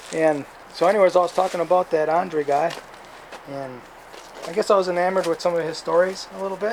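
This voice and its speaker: The man has a high pitch and talks at a fairly quick pace with fairly even intonation. Noticeable background noise is present. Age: 60s. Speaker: hunting vlogger. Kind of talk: casual gear review monologue. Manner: halting, with many self-corrections.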